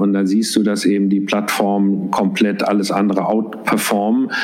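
Noticeable background noise and audible room echo accompany a man with a fairly low-pitched voice. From Ruhr area, Germany (Essen), later Bavaria. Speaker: retail company executive. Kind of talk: interview.

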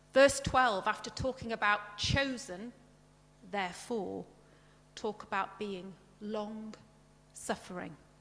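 Music plays in the background as a woman speaks at a fairly high pitch. She talks very slowly, with long, frequent pauses. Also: ordinary pitch variation. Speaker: lay preacher. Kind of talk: sermon. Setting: church with congregation and Zoom.

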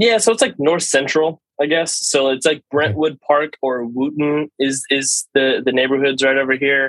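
In a plain, everyday voice, a man with an American accent talks at a fairly slow pace and a fairly high pitch. His intonation stays fairly even, and the sound is dry and close with no echo. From Texas. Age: 30s. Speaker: drummer and tech consultant. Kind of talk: casual chat.

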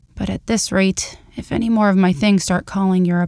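Fairly even intonation in a plain reading aloud.

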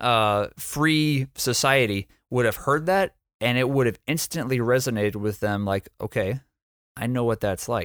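In a very clean recording with a silent background and a dry, close sound free of echo, a man with an unremarkable speaking voice talks at a fairly slow pace with lively intonation. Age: 20s. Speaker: church planter and preacher. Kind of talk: sermon-style teaching.

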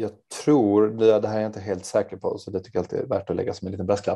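The background is quiet. A man is talking. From Sweden, Helsingborg (Skåne). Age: 20s. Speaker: charity organisation representative. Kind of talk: interview.

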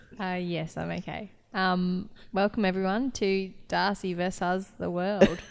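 Speaking with an Australian accent in a very clean recording with a silent background, a woman talks at a fairly slow pace with hardly any pauses, a medium pitch and monotone, flat intonation. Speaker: footballer and podcast co-host. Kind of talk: casual chat.

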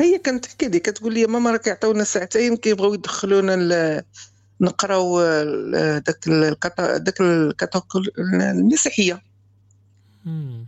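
The delivery comes at a fairly slow pace. Its intonation is lively. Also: woman, medium pitch for a woman. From Morocco. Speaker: caller, mother. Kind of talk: personal testimony. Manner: halting, repetitive.

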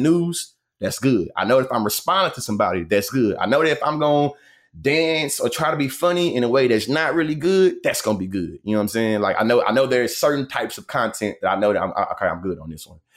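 On a very clean recording with a silent background, a man talks at a very fast pace and a medium pitch. His intonation is lively and his tone animated. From Texas. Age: 30s. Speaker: debate coach and content creator. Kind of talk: interview. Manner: animated, articulate.

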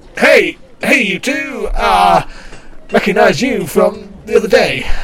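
A man puts on a character voice. It sits high in pitch and moves at a fairly slow pace. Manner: friendly greeting.

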